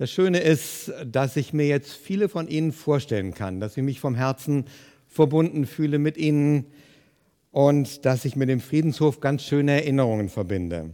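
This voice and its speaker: Recorded very cleanly against a silent background, a man speaks at a moderate pace with a dark, mellow tone, a fairly high pitch and lively intonation. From Germany, Hesse (Fulda). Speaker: pastor. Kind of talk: sermon.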